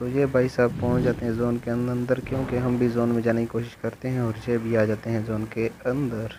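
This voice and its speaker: Over noticeable background noise, a man at medium pitch talks at a moderate pace with hardly any pauses and a monotone, flat intonation. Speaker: gaming YouTuber. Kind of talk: gameplay commentary.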